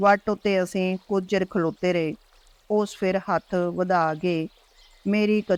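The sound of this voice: The text comes across in an unforced reading voice.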